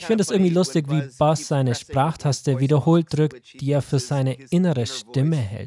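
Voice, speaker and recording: Speaking at a moderate pace, a man has a somewhat breathy voice with a dark, mellow tone. His pitch is fairly high and varies an ordinary amount. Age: 40s. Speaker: pastor. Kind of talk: sermon.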